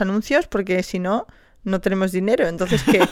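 Speaking fairly quickly, a woman uses a medium pitch and an animated tone. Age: 30s. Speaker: podcast host. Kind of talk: casual chat.

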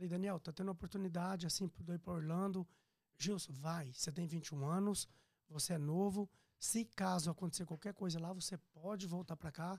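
The man speaks at a fairly quick pace in a high voice with fairly even intonation. His sound is dry and close, with no echo. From Brazil, Minas Gerais, raised in Piracicaba, São Paulo. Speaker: restaurant owner. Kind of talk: casual interview, life story.

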